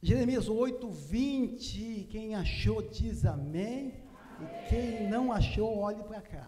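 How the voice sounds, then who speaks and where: Over noticeable background noise and audible room echo, a man speaks very slowly at a high pitch, with ordinary pitch variation and big swings in loudness. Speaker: evangelist preacher. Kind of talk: sermon. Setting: church.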